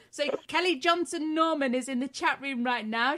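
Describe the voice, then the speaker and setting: With a British accent, a woman speaks at a moderate pace in a high, bright, sharp voice with ordinary pitch variation. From Britain, living in Texas for over three years. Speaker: stream co-host reading the chat. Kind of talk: casual British idioms.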